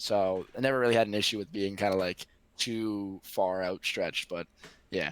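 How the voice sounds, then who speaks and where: In an American accent, a man talks at a moderate pace with a fairly low pitch and fairly even intonation, the sound dry and close with no echo. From US Northeast, Boston area. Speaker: streamer and social media creator. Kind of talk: casual interview chat.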